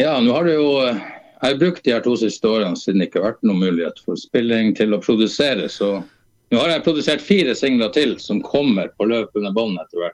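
A man talks at a moderate pace with hardly any pauses. His medium-pitched voice has lively intonation. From Eastern Finnmark, northern Norway. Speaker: singer-songwriter. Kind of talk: casual interview.

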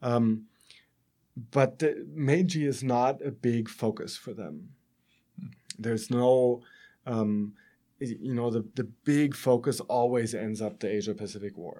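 A man talks at a fairly slow pace with long, frequent pauses. His tone is dark and mellow, with medium pitch and ordinary pitch variation. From Germany. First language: German. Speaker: professor. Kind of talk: interview.

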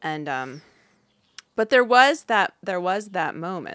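At a moderate pace, a woman with an American accent talks at medium pitch with very wide pitch swings. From US Midwest, Upper Peninsula of Michigan. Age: 40s. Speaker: artist and curator. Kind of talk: casual chat.

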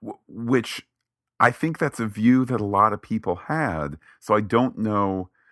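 On a very clean recording with a silent background, a man uses a normal speaking voice with a fairly low pitch. The sound is dry and close with no echo, and he talks fairly slowly with ordinary pitch variation. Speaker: podcast co-host. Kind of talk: casual chat.

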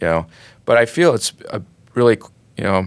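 A man with an American accent on a very clean recording, the background silent. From US, west central North Dakota. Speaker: research scientist. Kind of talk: interview. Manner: hesitant, repeats words.

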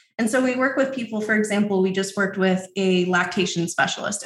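In a normal speaking voice, a woman talks at a fairly quick pace. Her pitch sits at medium, with ordinary variation. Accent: American. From New York City. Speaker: course creation agency owner. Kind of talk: interview.

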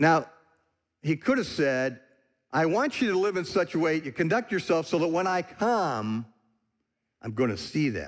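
Over a quiet background, a man with an American accent speaks at a moderate pace and a fairly high pitch, with very wide pitch swings and long, frequent pauses. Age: 60s. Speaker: visiting preacher, ministry leader. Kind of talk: sermon. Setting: church.

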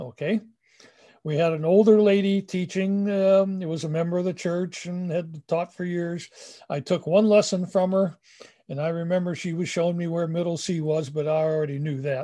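A man with an American accent speaks at a high pitch with a dark, mellow tone. His intonation is fairly even. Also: moderate pace, quiet background. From US Midwest, Cleveland, Ohio. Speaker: retired music professor and band director. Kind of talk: interview storytelling. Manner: hesitant with fillers, anecdotal.

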